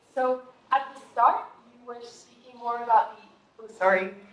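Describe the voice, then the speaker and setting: Noticeable background noise sits behind a woman with a high pitch. Her pace is moderate and her intonation fairly even. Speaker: audience member. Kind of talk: audience question. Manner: loud.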